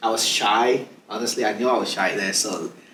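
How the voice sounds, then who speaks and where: Audible room echo surrounds a man speaking at medium pitch. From Nigeria. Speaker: immigrant guest. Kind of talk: casual interview.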